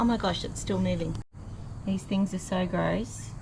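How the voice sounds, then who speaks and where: A fairly low woman's voice with an Australian accent at a moderate pace, over noticeable background noise. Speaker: vlogger. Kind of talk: casual talk to camera. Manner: quiet, reflective.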